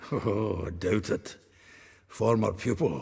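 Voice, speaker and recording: In a put-on character voice, a man speaks at a fairly slow pace, raspy and fairly low-pitched. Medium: video game. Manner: chuckling, earthy.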